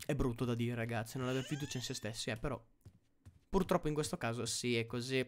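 A man's very fast speech broken by long, frequent pauses, with light background noise. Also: ordinary pitch variation. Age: 20s. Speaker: gaming streamer. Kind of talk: live gameplay commentary. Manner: animated. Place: home room.

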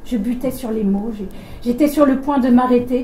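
Noticeable background noise sits behind a woman speaking at a fairly slow pace in a high pitch with ordinary pitch variation. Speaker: event co-moderator. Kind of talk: reading aloud. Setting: stage with audience.

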